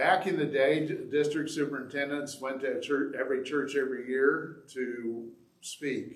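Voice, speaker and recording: This man has an unremarkable speaking voice and an American accent. He speaks at a fairly high pitch and a moderate pace. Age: 60s. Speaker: pastor. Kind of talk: sermon. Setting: church. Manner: self-deprecating humor, casual.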